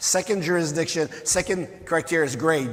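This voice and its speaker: This man speaks at a moderate pace with a fairly high pitch. His pitch varies an ordinary amount. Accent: French Canadian. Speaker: mining company executive. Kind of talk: conference presentation.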